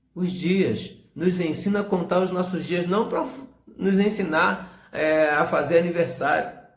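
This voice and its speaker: A man speaks in a high pitch. The room echo is audible. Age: 40s. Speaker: pastor. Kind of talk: sermon.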